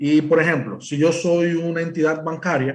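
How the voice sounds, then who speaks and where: A man speaks with a Dominican accent in a somewhat breathy voice. His pace is fairly slow. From Dominican Republic. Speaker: cybersecurity presales engineer. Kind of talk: technical presentation. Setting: remote presentation to live event. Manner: hesitant, many fillers.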